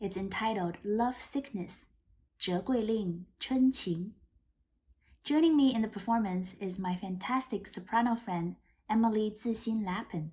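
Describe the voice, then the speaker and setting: Speaking fairly slowly in a Chinese accent, this somewhat breathy voice has a dark, mellow tone and big swings in loudness. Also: woman, fairly high pitch for a woman, ordinary pitch variation. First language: Mandarin Chinese. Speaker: music doctoral student, pianist. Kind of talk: spoken introduction to a performance.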